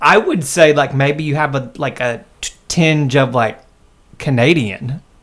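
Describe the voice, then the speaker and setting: An ordinary speaking voice, a man with an American accent speaks at a fairly slow pace and fairly high pitch, showing ordinary pitch variation. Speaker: podcast host. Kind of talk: casual chat; scripted intro.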